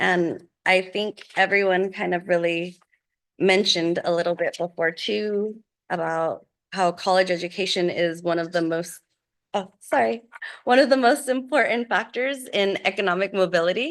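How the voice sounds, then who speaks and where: A woman with a plain, everyday voice speaks at medium pitch and a moderate pace over a quiet background. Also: ordinary pitch variation. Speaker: college program presenter. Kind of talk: board meeting presentation. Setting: school board meeting.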